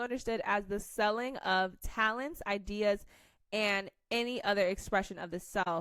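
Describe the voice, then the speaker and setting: A woman with an American accent, fairly high-pitched, at a moderate pace with ordinary pitch variation, in a very clean recording with a silent background. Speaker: tarot reader. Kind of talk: tarot reading to camera. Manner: casual, halting.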